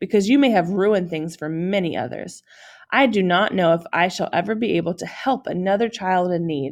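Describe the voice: The plain reading aloud shows pitch that varies in an ordinary way.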